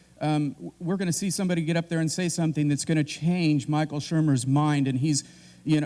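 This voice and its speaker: At a very fast pace, a man speaks with a dark, mellow tone and a fairly high pitch. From Kansas. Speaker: debate panelist. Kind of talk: debate opening statement. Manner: halting, many fillers and restarts.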